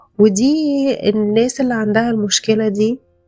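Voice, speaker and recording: Soft-spoken and calm in tone, a woman with an Egyptian accent talks at a fairly high pitch in a dry, close sound with no echo, music playing in the background. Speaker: podcast host. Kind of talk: self-help podcast monologue. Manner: calm, soft-spoken; hesitant, with fillers.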